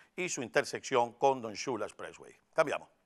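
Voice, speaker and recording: A man speaks in a normal speaking voice at medium pitch with ordinary pitch variation, recorded very cleanly against a silent background with dry, close sound with no echo. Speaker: TV morning show host. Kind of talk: weather and traffic report.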